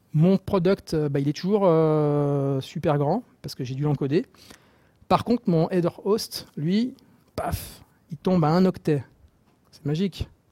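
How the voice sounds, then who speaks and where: A man with a fairly high pitch and a dark, mellow tone speaks at a very slow pace, with long, frequent pauses. His loudness swings widely in a dry, close sound with no echo. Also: ordinary pitch variation. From Marseille, southern France. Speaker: software developer. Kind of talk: technical talk. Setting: stage with audience, microphone. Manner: halting, many repetitions.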